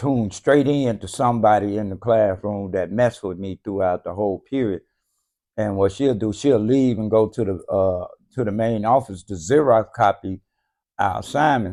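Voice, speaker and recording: A man speaks at a moderate pace with a fairly low pitch and ordinary pitch variation. His tone is dark and mellow over a quiet background. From US South, Memphis, Tennessee. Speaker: comedian. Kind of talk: casual interview. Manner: halting, many fillers.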